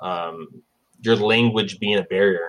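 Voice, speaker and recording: A man's medium-pitched, an unremarkable speaking voice at a fairly slow pace, with ordinary pitch variation. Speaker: podcast host. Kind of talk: interview.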